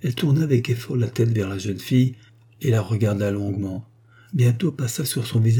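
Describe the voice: This plain reading aloud carries pitch that shifts in an ordinary way.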